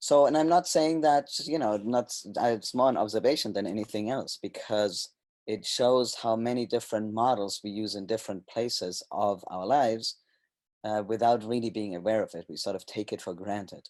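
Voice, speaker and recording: Man of medium pitch with a German accent, at a moderate pace against a quiet background. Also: ordinary pitch variation. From Germany. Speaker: sociocracy trainer and consultant. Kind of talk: presentation. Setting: webinar. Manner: hesitant, with fillers and restarts.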